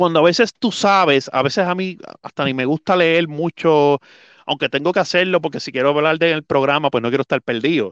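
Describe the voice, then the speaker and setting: An unremarkable speaking voice with lively intonation moves at a moderate pace over a quiet background, the sound dry and close with no echo. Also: man. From Puerto Rico, Adjuntas (mountain region). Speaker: volleyball commentator and play-by-play announcer. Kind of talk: casual interview chat.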